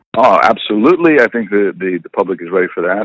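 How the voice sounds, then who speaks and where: A man speaks with an American accent at a very fast pace, his pitch fairly low. The sound is dry and close, with no echo. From US Southwest, Albuquerque. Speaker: actor. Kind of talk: interview.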